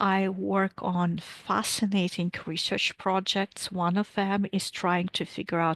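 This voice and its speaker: Against a quiet background, a woman speaks at a medium pitch with a Latvian accent, in a dry, close sound with no echo. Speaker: physics professor. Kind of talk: lecture.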